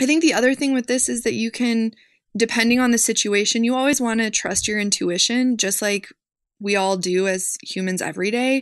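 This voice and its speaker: A woman talks at a fairly quick pace in a normal speaking voice with a fairly high pitch. The background is quiet. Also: ordinary pitch variation. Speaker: social worker. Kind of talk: interview.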